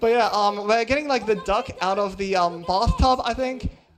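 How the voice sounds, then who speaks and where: The pace is fairly quick. Music can be heard in the background. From Australia. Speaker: speedrunner. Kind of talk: live speedrun commentary. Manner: casual, hesitant with many ums.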